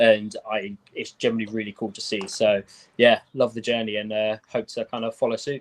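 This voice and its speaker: In a British accent, a man speaks at a moderate pace and medium pitch with monotone, flat intonation, in a dry, close sound with no echo. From UK. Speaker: sneaker and hat content creator. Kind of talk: casual chat.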